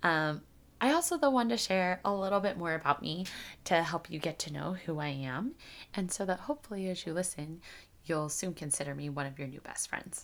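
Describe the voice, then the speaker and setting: A woman's fairly low voice, an ordinary speaking voice, fairly quick, with ordinary pitch variation and a very clean recording against a silent background. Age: 30s. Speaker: podcast host. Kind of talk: solo podcast monologue. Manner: casual, conversational.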